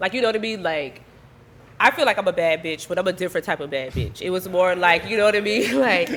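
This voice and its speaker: Talking at a very fast pace, a woman with an American accent uses lively intonation at a medium pitch. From US South, Savannah, Georgia. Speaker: rapper and ballroom event host. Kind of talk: casual interview chat.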